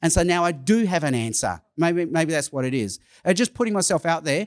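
On a very clean recording with a silent background, a high-pitched man with an Australian accent speaks with lively intonation. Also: dry, close sound with no echo. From Australia (Sydney). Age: 50s. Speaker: evangelist. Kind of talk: conference talk. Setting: stage with audience.

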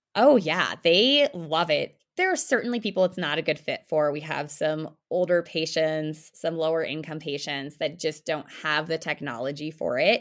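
Speaking in a General American accent, a woman uses a very deep, low pitch with ordinary pitch variation. She keeps a moderate pace with hardly any pauses on a very clean recording with a silent background. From Denver, Colorado. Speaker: family physician. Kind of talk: interview.

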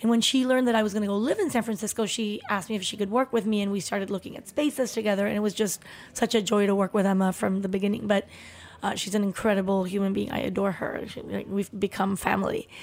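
A woman with a Spanish accent at a very fast pace, medium pitch and fairly even intonation. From Mexico, Chihuahua and Mexico City. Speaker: restaurateur. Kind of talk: interview.

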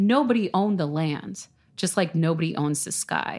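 A woman with an American accent speaks at a fairly slow pace, her pitch varying in an ordinary way. The recording is very clean, with a silent background. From New York City, Staten Island. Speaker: urban agriculture instructor and farm manager. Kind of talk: casual chat. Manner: hesitant, many fillers.

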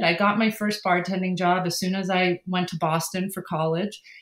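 Here is a woman with an American accent and a plain, everyday voice. She speaks at a medium pitch and a moderate pace on a very clean recording with a silent background. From Massachusetts (Worcester area). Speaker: non-profit founder and documentary filmmaker. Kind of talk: interview.

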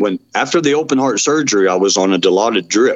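A man with a Texan accent talks at a very fast pace. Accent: Texan Southern US. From Texas, Dallas. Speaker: medical cannabis patient. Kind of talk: interview testimony. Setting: remote call.

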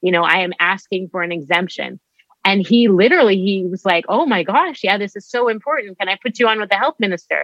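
Speaking very fast with a Canadian accent, a woman uses a medium pitch and ordinary pitch variation. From Canada, Winnipeg, Manitoba. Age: 40s. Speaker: physician. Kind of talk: interview.

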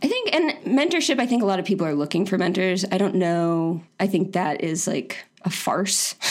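A woman with an American accent speaks in a plain, everyday voice at medium pitch, moving at a moderate pace with hardly any pauses, very even loudness and lively intonation. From Florida. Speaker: designer and online community founder. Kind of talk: casual interview.

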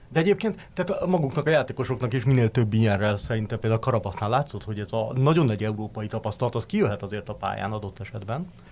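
This man talks at a very fast pace with hardly any pauses. His medium-pitched voice is somewhat breathy, with lively intonation. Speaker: sports journalist. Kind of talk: casual chat.

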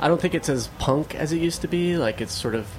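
Over noticeable background noise, a man talks fairly quickly in an American accent with lively intonation. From Beaumont, Texas. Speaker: musician in a band. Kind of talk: casual interview. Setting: studio.

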